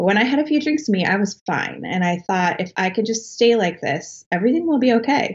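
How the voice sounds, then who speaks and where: With a General American accent, a woman speaks at a fairly quick pace in a fairly high, somewhat breathy voice with lively intonation. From Colorado, US. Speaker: author. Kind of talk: interview.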